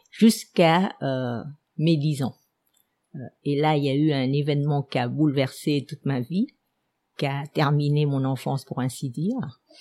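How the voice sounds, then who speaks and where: The voice has a dark, mellow tone and ordinary pitch variation, moving at a fairly slow pace with long, frequent pauses. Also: woman, very deep, low pitch for a woman. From Vietnam, Saigon. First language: Vietnamese (speaking French). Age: 70s. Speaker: historian. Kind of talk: personal life story. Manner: hesitant with many fillers.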